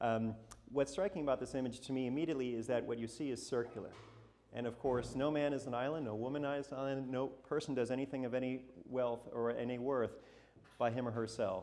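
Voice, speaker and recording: Very fast and with fairly even intonation, a man with an American accent talks at a medium pitch amid audible room echo. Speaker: portrait photographer giving a talk. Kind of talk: talk to a live audience. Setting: stage with audience.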